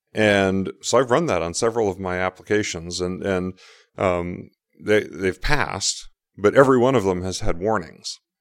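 A man's fairly low voice at a moderate pace with ordinary pitch variation, a normal speaking voice, in a very clean recording with a silent background. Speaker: software developer and conference speaker. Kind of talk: casual interview. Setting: hotel suite at a conference.

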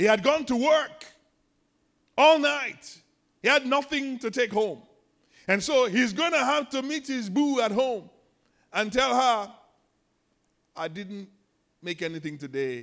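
With a Nigerian accent, a man talks at a fairly slow pace, leaving long, frequent pauses, his extremely high pitch moving in lively intonation over a very clean recording with a silent background. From Nigeria, Lagos. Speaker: pastor. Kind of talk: sermon. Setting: church.

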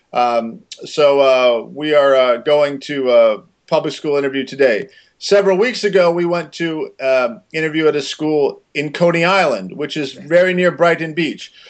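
A man's plain, everyday voice with an American accent, fairly high in pitch, with ordinary pitch variation. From Maryland, US. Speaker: interview guest. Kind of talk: casual interview. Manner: slow and simple, for a learner.

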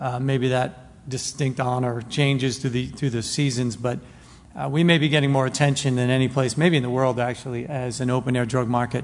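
In an American accent, a man speaks at a fairly quick pace with medium pitch. His intonation stays monotone and flat. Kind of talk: mission talk to a congregation. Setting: stage with audience.

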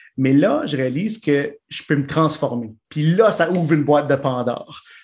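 At a fairly slow pace, a man with an unremarkable speaking voice talks at a fairly high pitch with ordinary pitch variation. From Manitoba, Saint-Boniface. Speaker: improv actor. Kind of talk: casual interview.

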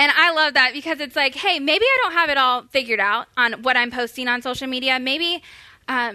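A woman with an American accent speaks in a raised, projected voice at a high pitch and a moderate pace. Her tone is bright and sharp. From Florida. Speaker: church social media resident. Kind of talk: church workshop talk.

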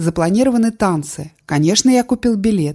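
A woman's somewhat breathy, dark, mellow voice with lively intonation. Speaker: audiobook narrator. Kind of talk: literary audiobook reading, calm and measured memoir narration. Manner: reflective, subdued, steady cadence.

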